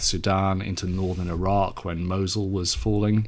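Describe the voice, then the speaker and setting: A man speaks at a moderate pace with a very deep, low pitch. Audible room echo and noticeable background noise fill the recording. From Wales, Cardiff. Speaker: leadership consultant, former charity CEO. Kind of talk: radio interview.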